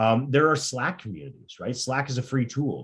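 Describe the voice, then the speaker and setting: Somewhat breathy, a man's voice comes through. He moves at a fairly quick clip. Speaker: career coach and tech recruiter. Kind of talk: career workshop presentation. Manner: fast; halting, many fillers.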